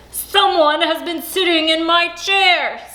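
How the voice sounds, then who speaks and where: A woman uses a put-on character voice at an extremely high pitch. She speaks at a fairly slow pace with monotone, flat intonation. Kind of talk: bedtime story. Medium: read story.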